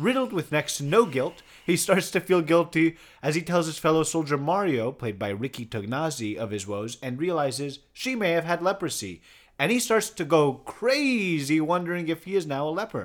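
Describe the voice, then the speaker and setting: At a moderate pace, a man with fairly high pitch makes very wide pitch swings in a very clean recording with a silent background. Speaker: podcast host. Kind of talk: casual chat, film review.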